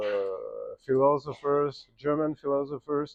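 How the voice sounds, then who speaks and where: A man talks at a fairly slow pace with a French accent. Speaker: game designer. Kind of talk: interview at festival panel. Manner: halting.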